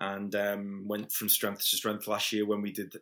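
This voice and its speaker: A man with a Liverpool accent and fairly low pitch, at a moderate pace, on a very clean recording with a silent background. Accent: Liverpool (Scouse). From Liverpool, England. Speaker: events promoter. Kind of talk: casual interview. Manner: halting, many fillers and repeats.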